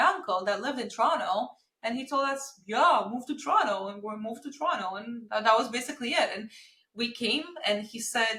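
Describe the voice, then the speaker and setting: Fairly high-pitched woman's voice with a bright, sharp tone, a Romanian accent and a moderate pace. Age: 30s. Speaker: marketing agency founder. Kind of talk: podcast interview.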